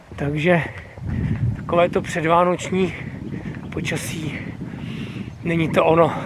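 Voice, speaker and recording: High male voice with monotone, flat intonation at a fairly slow pace, dry sound with no echo, noticeable background noise. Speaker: hiking vlogger. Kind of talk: casual vlog chat. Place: street. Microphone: phone near.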